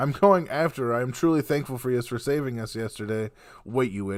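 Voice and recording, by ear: The words are read aloud. It is done in a natural voice.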